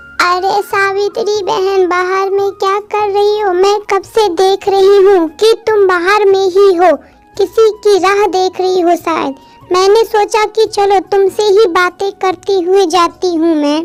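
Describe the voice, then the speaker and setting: A woman does a cartoonish character voice at an extremely high pitch, speaking fairly slowly over faint music in the background. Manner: chatty, curious.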